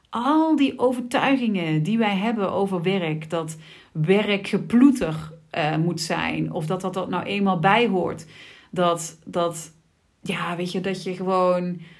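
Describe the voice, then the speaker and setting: A woman at a very slow pace, medium pitch and ordinary pitch variation, with audible room echo. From Sittard, Limburg, Netherlands. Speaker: podcast host, business coach. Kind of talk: solo podcast monologue. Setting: office. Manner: casual, with frequent fillers.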